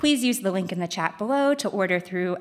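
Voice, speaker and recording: A woman at medium pitch speaks with lively intonation over a quiet background. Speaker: event program manager. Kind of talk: formal event announcements. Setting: stage with audience, also streamed. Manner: formal. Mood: friendly, smiling. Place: stage. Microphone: studio mic.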